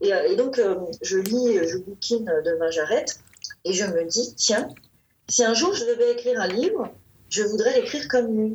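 A woman speaks at a fairly slow pace with a fairly high pitch. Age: 40s. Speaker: novelist. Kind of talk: interview.

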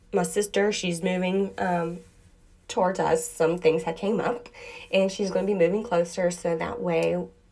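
Noticeable background noise runs under this woman's voice as she talks at a fairly slow pace. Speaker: podcast host on witchcraft practice. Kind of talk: casual solo talk. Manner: hesitant with many fillers.

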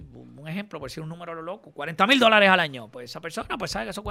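A man speaks at a very fast pace with lively intonation and a bright, sharp tone in a very clean recording with a silent background. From Puerto Rico, Caguas. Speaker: radio host and DJ. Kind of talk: interview. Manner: halting.

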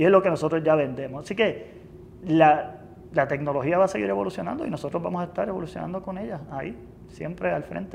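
Lively intonation marks a man's very fast delivery. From Puerto Rico, Lares. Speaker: company finance executive. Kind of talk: interview. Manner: halting, with frequent repetitions and fillers.

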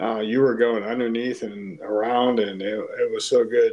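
A man with an American accent speaks in an unremarkable speaking voice at medium pitch, moderate pace and fairly even intonation. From Pittsburgh, Pennsylvania. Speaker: podcast guest, host's friend. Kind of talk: casual chat.

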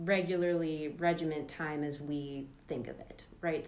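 In an ordinary speaking voice, a woman talks at a fairly slow pace with a fairly low pitch and fairly even intonation. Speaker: podcast host. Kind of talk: casual podcast discussion.

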